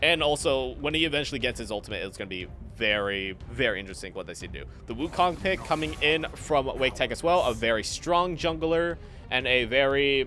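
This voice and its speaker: Music plays in the background as the voice moves at a fairly quick pace with lively intonation. Its loudness swings widely. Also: man, medium pitch for a man. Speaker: esports caster. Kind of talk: live commentary. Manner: halting, stuttering.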